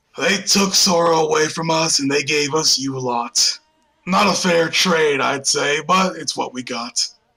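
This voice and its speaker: A raspy, fairly high-pitched put-on character voice from a man at a moderate pace, with music in the background. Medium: actual play. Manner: blunt, plainspoken.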